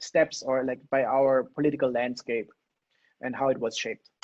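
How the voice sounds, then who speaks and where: This man speaks with a non-native accent. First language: not English. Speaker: political theory lecturer. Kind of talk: lecture. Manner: fast.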